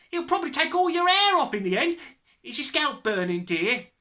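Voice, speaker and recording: A put-on, shrill, female-sounding character voice, high in pitch, fairly quick, with very wide pitch swings. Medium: read story. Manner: shrieking.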